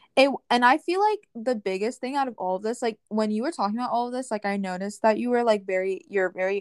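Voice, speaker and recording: A woman speaks in a normal speaking voice, fairly high in pitch with ordinary pitch variation. She keeps a fairly quick pace, and the sound is dry and close with no echo. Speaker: podcast co-host. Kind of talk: casual chat.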